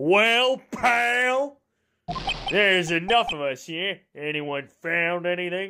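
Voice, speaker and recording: A woman puts on a gruff character voice at a medium pitch, speaking very slowly with lively intonation. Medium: game stream. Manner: gruff, says "pal" often.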